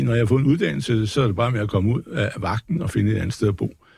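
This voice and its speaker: A man talks at a very fast pace in a fairly low pitch. His voice is somewhat breathy, with lively intonation. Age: 60s. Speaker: market commentator. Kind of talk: casual talk. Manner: rambling, hesitant.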